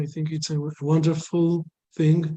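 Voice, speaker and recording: In a non-native accent, a man speaks at a fairly slow pace with a dark, mellow tone, a fairly high pitch and monotone, flat intonation. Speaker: company presenter. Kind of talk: business presentation. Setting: video call. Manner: halting, many fillers.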